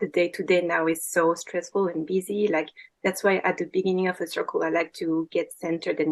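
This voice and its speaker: A woman's fairly low voice in a French accent, with fairly even intonation and a fairly quick pace. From France. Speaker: women's circle facilitator. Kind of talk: casual chat. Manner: halting.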